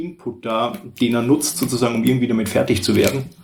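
At a moderate pace and medium pitch, a man talks in a plain, everyday voice. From Austria. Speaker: guest. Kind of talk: casual chat. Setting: shared table mic, several people in one room. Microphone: poor audio quality.

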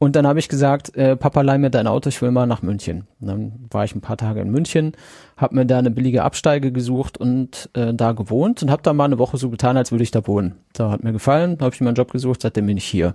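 Against a quiet background, a man with a dark, mellow tone talks very fast at medium pitch with ordinary pitch variation, in a dry, close sound with no echo. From Sauerland, North Rhine-Westphalia. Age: 40s. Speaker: podcaster. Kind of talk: casual chat.

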